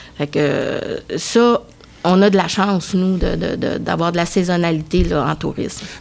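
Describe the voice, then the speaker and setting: Fairly low female voice at a fairly slow pace, with ordinary pitch variation and noticeable background noise. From Quebec (Thetford Mines), arrived from Egypt at 5. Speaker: tourism agency director. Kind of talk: casual chat.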